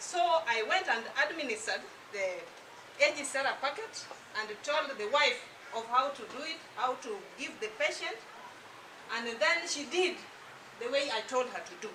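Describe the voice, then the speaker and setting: A woman with a high pitch and very wide pitch swings speaks at a moderate pace with long, frequent pauses, amid audible room echo and noticeable background noise. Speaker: product distributor giving testimony. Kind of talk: testimony. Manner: soft-spoken.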